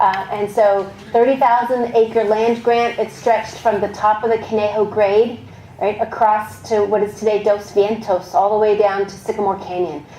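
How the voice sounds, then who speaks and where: With an American accent, a woman speaks in a fairly high pitch and fairly even intonation, with audible room echo and noticeable background noise. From Texas. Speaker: archaeologist giving a history talk. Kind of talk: public lecture. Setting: museum talk with audience. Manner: fast; not always clearly enunciated.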